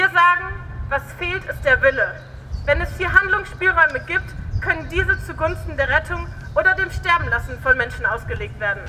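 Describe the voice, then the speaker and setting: Moderate pace over noticeable background noise. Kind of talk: protest speech. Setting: outdoors, protest rally. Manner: forceful, accusatory, direct address.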